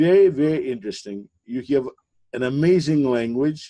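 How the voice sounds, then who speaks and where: Over a quiet background, the voice has a dark, mellow tone, ordinary pitch variation and a fairly slow pace. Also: man. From Soviet Union. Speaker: interview host. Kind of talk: interview. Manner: halting. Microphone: webcam.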